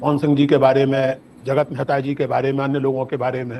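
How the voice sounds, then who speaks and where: A man is talking here. His voice is fairly high-pitched. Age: 70s. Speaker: public intellectual, lecturer. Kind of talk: public lecture. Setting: stage with audience. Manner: formal.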